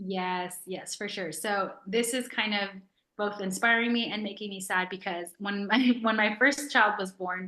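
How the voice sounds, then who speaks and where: A woman talks in a plain, everyday voice at medium pitch and a fairly slow pace. Her intonation is fairly even. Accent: American. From New York. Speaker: author. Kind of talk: interview. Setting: video call.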